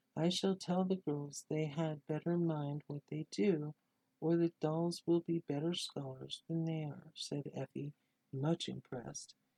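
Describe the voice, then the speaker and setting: Soft-spoken and fairly slow, a man talks in a fairly high pitch with fairly even intonation. The sound is dry and close, with no echo. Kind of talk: storytelling reading of a Christmas tale.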